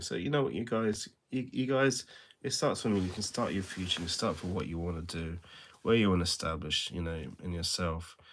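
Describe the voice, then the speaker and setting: A man speaks at a fairly quick pace in a very deep, low pitch with very wide pitch swings. The recording is very clean, with a silent background. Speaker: social media creator. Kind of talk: casual motivational talk to camera. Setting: self-recorded video. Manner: kept low, trying not to be loud; hesitant, many fillers.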